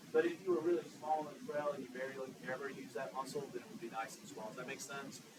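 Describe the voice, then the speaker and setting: Amid audible room echo, a man with a Southern US accent talks very fast at a fairly high pitch, with lively intonation. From US South. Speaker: anatomy instructor. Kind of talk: lecture. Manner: animated, conversational.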